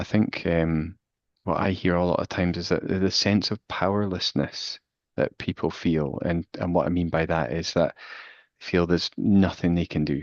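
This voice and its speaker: Over a quiet background, a man with a very deep, low voice speaks at a moderate pace with fairly even intonation, the sound dry and close with no echo. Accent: Glasgow. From Scotland, Glasgow. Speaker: physiotherapist and researcher. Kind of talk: expert Q&A. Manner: hesitant, many fillers.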